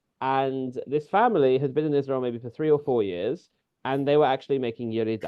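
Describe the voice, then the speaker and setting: Talking at a very fast pace, a man with a British accent shows ordinary pitch variation. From London, England. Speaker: community leader. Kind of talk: webinar talk. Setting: video webinar. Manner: conversational, some hesitations.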